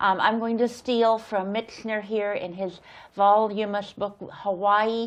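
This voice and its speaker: Against a quiet background, a woman talks at a very slow pace with a fairly high pitch and monotone, flat intonation. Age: 70s. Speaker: interview host and volunteer attorney. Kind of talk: interview.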